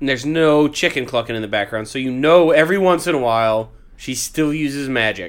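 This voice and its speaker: Fairly high-pitched with ordinary pitch variation, a man talks at a fairly quick pace. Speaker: podcast co-host. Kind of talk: casual chat. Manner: loud.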